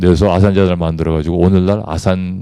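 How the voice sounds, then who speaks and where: With a dark, mellow tone and a very deep, low pitch, a man speaks at a fairly quick pace in a dry, close recording with no echo. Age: 50s. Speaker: corporate executive giving leadership lecture. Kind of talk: lecture. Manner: formal.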